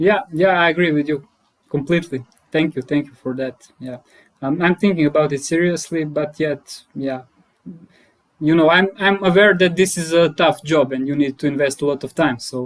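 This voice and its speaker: With a Croatian accent, a man talks at a moderate pace with a fairly high pitch and ordinary pitch variation. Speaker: data scientist and HR consultant. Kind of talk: casual interview.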